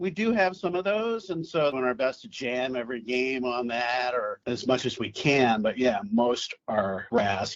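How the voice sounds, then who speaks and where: A man with an American accent talks at a moderate pace with hardly any pauses, using an unremarkable speaking voice of medium pitch and lively intonation. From US Midwest, St. Louis. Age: 60s. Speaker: youth baseball commissioner. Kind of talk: casual interview.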